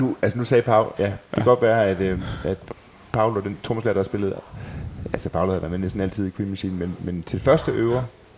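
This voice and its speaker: Over noticeable background noise, a man talks at a very fast pace. His pitch is fairly low, with ordinary pitch variation. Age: 30s. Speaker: tribute band member and podcast host. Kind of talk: casual chat.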